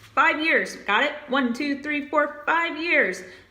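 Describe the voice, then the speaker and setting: Noticeable background noise and audible room echo fill this recording. A woman speaks at a moderate pace in an animated tone. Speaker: HR exam tutor. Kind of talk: tutorial.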